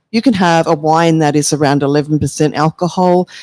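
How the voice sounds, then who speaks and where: A moderate pace with an Australian accent. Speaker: Australian wine expert. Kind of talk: casual chat.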